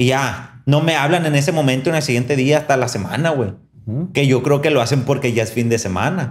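Fairly quick, somewhat breathy speech from a man. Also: medium pitch for a man, ordinary pitch variation. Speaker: podcast host. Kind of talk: casual chat. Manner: animated.

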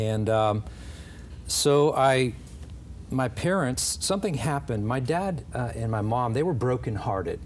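Over light background noise, a man with an American accent talks at a moderate pace, leaving long, frequent pauses. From Southern California, Los Angeles County. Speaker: pastor. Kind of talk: testimony. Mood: earnest, reflective. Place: studio. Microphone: lapel.

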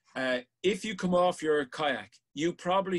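A man speaks with an Irish accent at a fairly high pitch. The background is quiet. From Ireland. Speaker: sea safety instructor. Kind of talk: online safety class. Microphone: webcam.

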